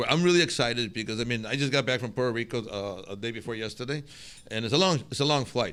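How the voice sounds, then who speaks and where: Very fast speech from a man with a Spanish accent, medium pitch and ordinary pitch variation. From northern Mexico. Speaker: restaurateur. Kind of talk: interview. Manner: halting, many repetitions.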